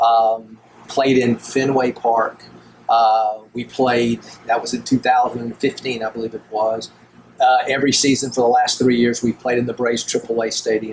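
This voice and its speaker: Through noticeable background noise, a man talks at a medium pitch in a monotone, flat intonation. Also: moderate pace. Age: 60s. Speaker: college baseball head coach. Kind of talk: podcast interview. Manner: casual, with many fillers.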